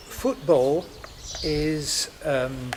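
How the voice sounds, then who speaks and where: A man talks, with noticeable background noise audible behind him. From Scotland. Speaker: judge and former lawyer. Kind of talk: panel talk. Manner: hesitant, many fillers.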